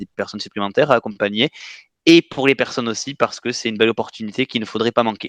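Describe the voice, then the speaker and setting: With a southwestern French accent, a man speaks at a fairly low pitch and fairly even intonation, the sound dry and close with no echo over a quiet background. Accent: southwest French. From southwest France. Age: 20s. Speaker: coaching client. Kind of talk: testimony interview. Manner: hesitant, many fillers.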